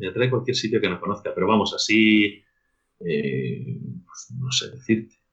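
Fairly slow, fairly low-pitched male speech with vocal fry, lively intonation, and long, frequent pauses. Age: 40s. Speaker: rugby coach. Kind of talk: casual chat.

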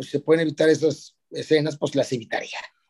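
The speech moves at a very fast pace in a Mexican accent. Its intonation stays fairly even. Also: man. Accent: Mexican Spanish (Jalisco). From Mexico, Guadalajara, Jalisco. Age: 60s. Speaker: dentist and social media influencer. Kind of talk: casual interview chat.

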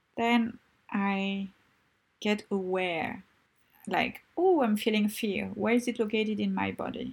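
Somewhat breathy, a woman speaks at a medium pitch. Her intonation stays fairly even. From Tunisia. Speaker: podcast host, life coach and artist. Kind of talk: solo podcast monologue.

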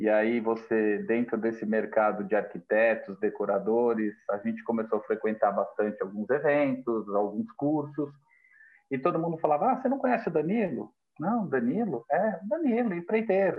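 This man's voice sits fairly high and swings very widely in pitch. He talks at a moderate pace. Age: 40s. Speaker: construction business owner. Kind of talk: interview. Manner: halting, many fillers.

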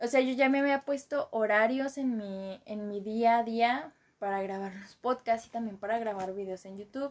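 A woman with a Mexican accent talks at a moderate pace and a fairly high pitch, with ordinary pitch variation, big swings in loudness and hardly any pauses. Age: 20s. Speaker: podcaster and university student. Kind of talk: casual monologue. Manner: casual, rambling with fillers.

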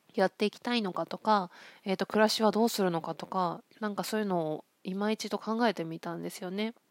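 A woman speaks in a plain, everyday voice at a fairly quick pace, her medium pitch and fairly even intonation captured in a dry, close sound with no echo against a silent background on a very clean recording. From Akita, Japan. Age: 40s. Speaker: counselor. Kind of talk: solo podcast monologue. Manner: relaxed, many fillers.

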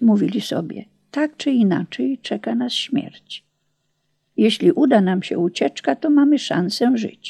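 A woman speaks at a fairly slow pace in a fairly high pitch, her dark, mellow tone somewhat breathy and dramatic and solemn, with very wide pitch swings. The sound is dry and close, with no echo. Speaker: audiobook narrator and memoirist. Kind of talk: audiobook narration of memoir, dramatic wartime storytelling with solemn, devout tone. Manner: dramatic, solemn, measured pace with suspenseful emphasis; earnest and reverent.

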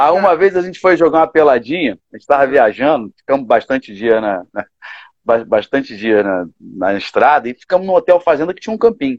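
A man's fairly high voice with very wide pitch swings at a very fast pace. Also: dry, close sound with no echo. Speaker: gospel musician. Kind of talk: casual chat.

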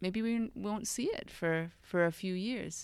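A woman with an American accent, an unremarkable speaking voice, ordinary pitch variation and a moderate pace. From United States. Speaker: founder of an expat integration company. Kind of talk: podcast interview.

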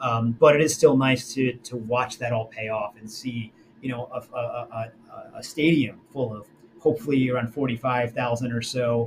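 A man's somewhat breathy voice in an American accent, medium in pitch, with fairly even intonation, big swings in loudness and a fairly slow pace. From New Jersey. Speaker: sports team marketing executive. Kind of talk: interview. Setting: recorded call, poor audio. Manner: hesitant, many fillers.

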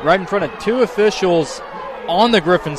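A man talks at a fairly quick pace in a relaxed tone with ordinary pitch variation. Noticeable background noise runs underneath. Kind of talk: color commentary, analyzing plays. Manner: conversational, explanatory, relaxed analyst.

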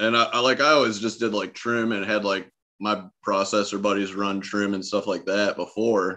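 A man's normal speaking voice with an American accent, fairly low in pitch, fairly even in intonation, at a moderate pace. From Michigan, partly Ohio. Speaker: cannabis grower. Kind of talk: casual chat.

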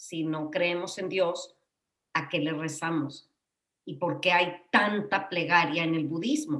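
A woman with a fairly low voice speaks very slowly, her intonation fairly even. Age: 50s. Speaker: psychotherapist, podcast co-host. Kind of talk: casual chat.

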